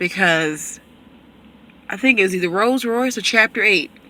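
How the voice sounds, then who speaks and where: Noticeable background noise accompanies a woman whose pitch variation is ordinary. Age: 40s. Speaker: vlogger. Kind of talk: casual vlog monologue. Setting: in a parked car.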